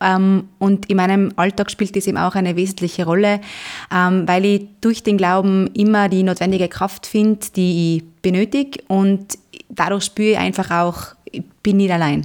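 A woman at medium pitch and a moderate pace with fairly even intonation, on a very clean recording with a silent background. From Austria, Zillertal (Tyrol). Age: 20s. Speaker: parish council member. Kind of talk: interview. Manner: halting, frequent filler sounds.

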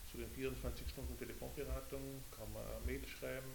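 In a Carinthian accent, a man with a very deep, low pitch talks at a moderate pace in a monotone, flat intonation, with noticeable background noise and audible room echo. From Carinthia, Austria (Lavanttal). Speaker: head of a telephone counselling service. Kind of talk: casual interview. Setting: sitting at a table in a group room.

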